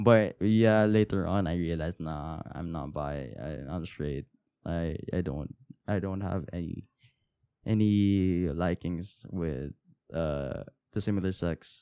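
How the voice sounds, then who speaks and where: At a very slow pace, a man with a very deep, low pitch and a dark, mellow tone speaks with ordinary pitch variation. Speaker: podcast host. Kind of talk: casual solo podcast monologue. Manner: halting, many fillers and restarts.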